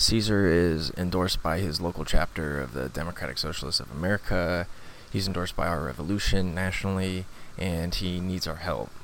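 A man speaks at a fairly quick pace in a very deep, low pitch with vocal fry. His pitch variation is ordinary. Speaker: podcast host. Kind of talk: scripted intro.

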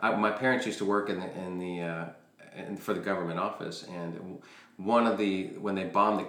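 Fairly quick, fairly even speech amid noticeable background noise and audible room echo. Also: man. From Chile, raised in the US from about age four. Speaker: podcast guest, entrepreneur. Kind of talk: casual chat. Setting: dining room at home.

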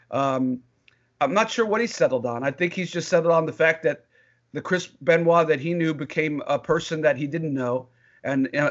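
A man with a normal speaking voice talks at a moderate pace. His pitch is fairly high. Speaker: former wrestling ring announcer. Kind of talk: casual interview.

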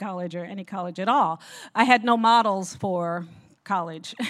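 This very clean recording has a silent background and features a woman with an American accent. She has an unremarkable speaking voice at a medium pitch, with a moderate pace and fairly even intonation. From Newark, New Jersey. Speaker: pastor's wife. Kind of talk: testimony.

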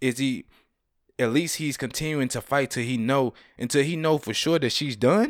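Here is a man with an unremarkable speaking voice, a fairly high pitch and ordinary pitch variation at a moderate pace. The recording is very clean, with a silent background. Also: dry, close sound with no echo. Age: 30s. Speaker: podcast host. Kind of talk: casual chat.

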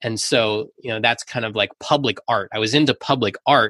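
Captured dry and close with no echo against a quiet background, a man with an American accent speaks at a moderate pace in a bright, sharp tone with fairly even intonation. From US Northeast, Philadelphia. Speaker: permaculture teacher and podcast host. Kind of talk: interview, casual conversation.

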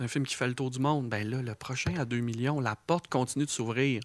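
In a normal speaking voice, a man talks at a medium pitch and moderate pace with ordinary pitch variation. The recording is very clean, with a silent background. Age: 40s. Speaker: film director. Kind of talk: casual chat.

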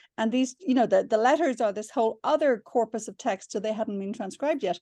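A woman with an Irish accent, fairly high in pitch with ordinary pitch variation, a dark, mellow tone, a fairly quick pace, a dry, close sound with no echo and a quiet background. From Ireland. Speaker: novelist and screenwriter. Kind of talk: interview. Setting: video call.

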